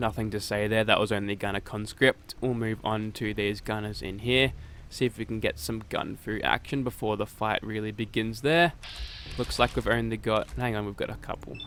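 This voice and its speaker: The speaker uses fairly even intonation while music plays in the background. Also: man, moderate pace. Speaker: gaming YouTuber. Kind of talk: game weapon showcase commentary. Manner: casual.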